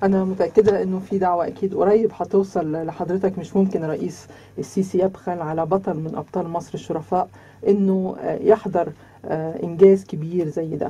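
Somewhat breathy and dark, mellow in tone, this voice carries an Egyptian accent. The intonation is fairly even and the pace moderate. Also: woman. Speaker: radio host. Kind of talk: radio interview. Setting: radio studio. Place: studio. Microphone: studio mic.

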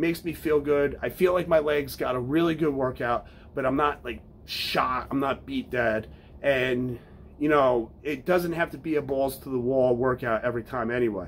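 A man's voice with ordinary pitch variation over light background noise. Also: moderate pace. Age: 40s. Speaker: fitness podcast host and firefighter; fitness podcast host. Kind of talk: casual monologue. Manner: casual, with many fillers. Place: home room.

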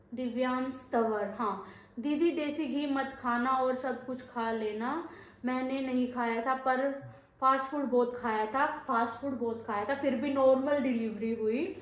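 Audible room echo surrounds a woman's high voice as she speaks at a very slow pace with fairly even intonation. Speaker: vlogger. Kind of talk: casual chat. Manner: speaks in masculine verb forms. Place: home room. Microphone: phone near.

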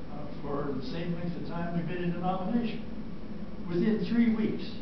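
Strong room echo and noticeable background noise surround a man speaking at a moderate pace. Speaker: retired cardiothoracic surgeon. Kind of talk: interview answer. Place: classroom. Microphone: camera far.

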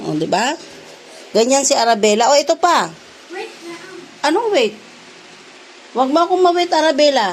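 Over noticeable background noise, a woman speaks at a high pitch and a moderate pace in an angry tone, with big swings in loudness, long, frequent pauses and very wide pitch swings. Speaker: vlogger and mother. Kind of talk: scolding her child in a home vlog. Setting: at home. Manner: loud, sounds angry.

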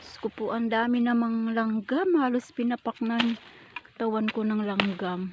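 A woman's fairly high voice at a fairly slow pace, with fairly even intonation and noticeable background noise. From Surigao, Mindanao, Philippines. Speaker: farm vlogger. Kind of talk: casual vlog tutorial. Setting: outdoors on a pepper farm.

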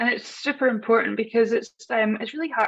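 A woman speaks in a Scottish accent over a quiet background. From Scottish Highlands. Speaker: personal brand strategist. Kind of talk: casual interview. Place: home room. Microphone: video call.

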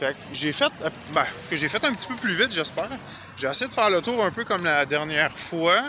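A man with a Quebec accent speaks at a fairly quick pace, his high pitch swinging very widely. The sound is dry with no echo, and there is noticeable background noise. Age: 50s. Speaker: YouTuber; vlogger visiting restaurants. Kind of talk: walking vlog commentary; casual vlog chat. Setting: outdoors. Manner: halting. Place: street. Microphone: phone near.

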